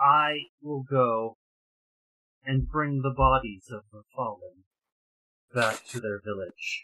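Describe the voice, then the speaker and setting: A put-on character voice at a low-to-middle pitch and a fairly slow pace. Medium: actual play. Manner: grave, formal.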